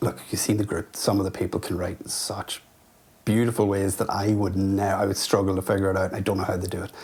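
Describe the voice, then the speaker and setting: The speaker has a Northern Irish accent. The pace is very fast. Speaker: writer. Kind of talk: interview. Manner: halting.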